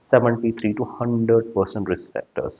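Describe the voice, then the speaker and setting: A man speaks in an Indian accent. His voice is somewhat breathy. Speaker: pediatrician and exam-prep teacher. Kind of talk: lecture. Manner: fast; hesitant, frequent uh fillers.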